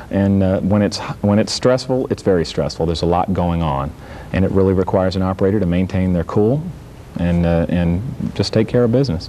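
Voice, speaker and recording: A man with an American accent speaks in a very deep, low pitch at a fairly quick pace. His pitch varies in an ordinary way, his loudness stays very even, and there is noticeable background noise. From Virginia, US. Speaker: Coast Guard vessel traffic trainer, former service member. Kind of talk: TV interview.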